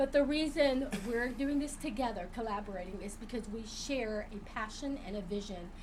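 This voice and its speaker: A woman's voice with ordinary pitch variation and hardly any pauses, plus audible room echo and noticeable background noise. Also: fairly high pitch for a woman, moderate pace. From Vietnam, raised in US. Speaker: co-host, actress. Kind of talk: casual chat. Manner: animated.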